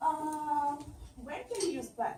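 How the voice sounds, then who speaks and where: With audible room echo, a woman speaks in a high pitch with a dark, mellow tone. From Russia and Israel. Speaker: tech conference speaker. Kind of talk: conference presentation.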